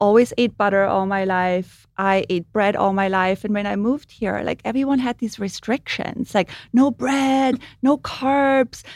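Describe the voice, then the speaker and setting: A woman's medium-pitched voice in an Austrian accent, fairly slow, with ordinary pitch variation, on a very clean recording with a silent background and a dry, close sound with no echo. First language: German. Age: 50s. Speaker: makeup artist. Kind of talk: casual chat. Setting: studio.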